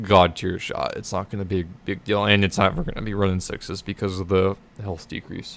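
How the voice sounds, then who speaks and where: A man talks fairly quickly, and the recording is very clean with a silent background. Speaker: gaming streamer. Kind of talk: casual commentary. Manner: casual, filler-heavy.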